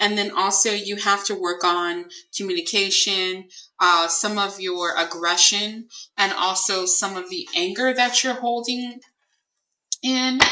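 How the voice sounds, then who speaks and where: A bright, sharp tone from a woman at medium pitch, fairly slow in pace, with ordinary pitch variation. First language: not English. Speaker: psychic tarot reader. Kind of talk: tarot reading livestream. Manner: hesitant, many fillers.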